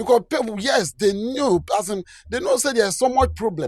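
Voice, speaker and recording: A man with a Nigerian accent speaks at a moderate pace with lively intonation. The sound is dry and close, with no echo. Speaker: commentator. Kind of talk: video commentary.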